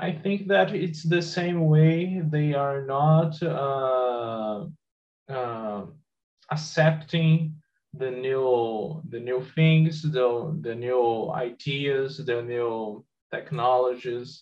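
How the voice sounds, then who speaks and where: A man speaks at a very slow pace with a Brazilian Portuguese accent and a somewhat breathy voice. Pitch variation is ordinary, and audible room echo surrounds him. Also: fairly high pitch for a man. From Brazil, Espírito Santo. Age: 20s. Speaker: software engineer. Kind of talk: group discussion.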